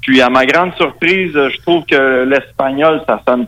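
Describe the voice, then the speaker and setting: A man's medium-pitched voice with a strong Quebec accent, a fairly slow pace and ordinary pitch variation. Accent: very strong Quebec French. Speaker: metal musician. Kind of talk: interview.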